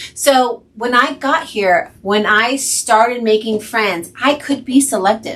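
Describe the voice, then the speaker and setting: A woman speaks in an animated tone with lively intonation and a New Jersey accent. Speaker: podcast co-host, nurse. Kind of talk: casual chat.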